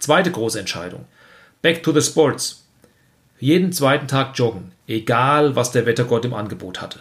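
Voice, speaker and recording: This man's voice sits at a medium pitch and is somewhat breathy, moving at a moderate pace with lively intonation and long, frequent pauses. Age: 50s. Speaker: health coach and podcast host. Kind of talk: scripted monologue.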